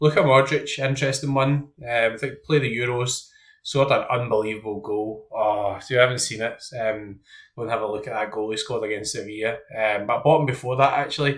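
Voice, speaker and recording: A man with a Scottish accent speaks at a medium pitch and a fairly quick pace, somewhat breathy. His intonation is fairly even, and the recording is very clean with a silent background. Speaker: fantasy football content creator. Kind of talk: casual commentary while team building. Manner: hesitant, many ums.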